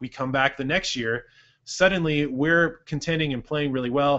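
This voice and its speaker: A man with a medium-pitched voice and a Californian accent. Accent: Californian American. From Santa Cruz, California, US. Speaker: basketball coach and show host. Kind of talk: casual Q&A show. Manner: fast.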